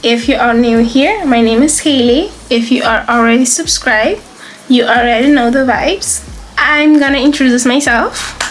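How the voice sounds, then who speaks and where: With a Curaçao accent, the speaker talks at a moderate pace with ordinary pitch variation, over music in the background and audible room echo. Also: woman. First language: Papiamento. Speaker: lifestyle vlogger. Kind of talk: casual vlog.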